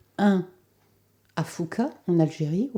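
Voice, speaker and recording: This woman talks at a very slow pace in a dark, mellow tone. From France (left Algeria at age two). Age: 70s. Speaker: holistic therapist. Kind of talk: testimony. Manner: hesitant, many 'euh' fillers.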